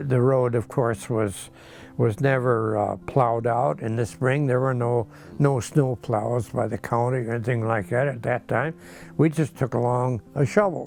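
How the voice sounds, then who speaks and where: With music in the background, a man talks at a moderate pace, using a medium pitch and ordinary pitch variation. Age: 80s+. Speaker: farmer. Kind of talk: interview answer.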